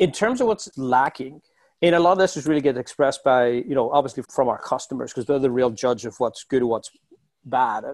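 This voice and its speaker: A man with an Irish accent talks at a fairly quick pace in a medium pitch with ordinary pitch variation, the sound dry and close with no echo. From Ireland. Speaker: software executive. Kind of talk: interview. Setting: podcast. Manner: animated.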